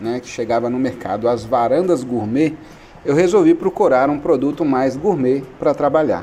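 The speaker talks at a moderate pace with lively intonation. Noticeable background noise runs underneath. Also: man. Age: 40s. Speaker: online retail business owner. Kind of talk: radio interview.

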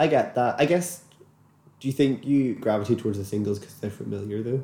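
Somewhat breathy and dark, mellow in tone, a man talks at a fairly quick pace with big swings in loudness and long, frequent pauses. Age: 20s. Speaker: podcast co-host. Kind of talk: casual chat. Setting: same room, shared microphones.

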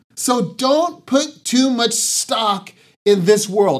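In an American accent, the speaker goes at a very slow pace with audible room echo. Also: man. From Southern California, San Diego. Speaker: pastor. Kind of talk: sermon. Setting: online church broadcast.

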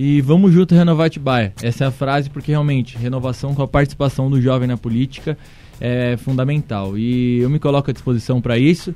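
Music sounds in the background as a man speaks. His pitch is medium and his pace fairly quick. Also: ordinary pitch variation. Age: 20s. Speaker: city council candidate. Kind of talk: radio interview. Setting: radio studio. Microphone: was too far from the mic.

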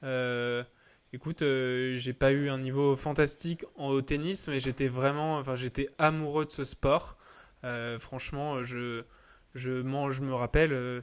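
A man's medium-pitched, monotone, flat voice at a very slow pace, in a very clean recording with a silent background. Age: 20s. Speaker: tennis entrepreneur. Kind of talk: casual interview.

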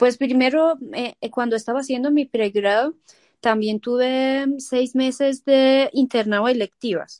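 Speaking at a very slow pace, a woman with a Persian accent has a high-pitched voice. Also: dry, close sound with no echo. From Iran, moved to Colombia at 15. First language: Persian (speaking Spanish). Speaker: family physician. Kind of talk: interview. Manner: hesitant, many fillers.

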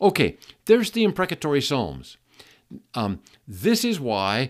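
A man speaks very slowly with vocal fry, his pitch swinging very widely. The recording is very clean, with a silent background. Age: 70s. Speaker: podcast host teaching Bible topics. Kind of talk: solo Bible teaching talk. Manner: halting, with fillers and repeated words.

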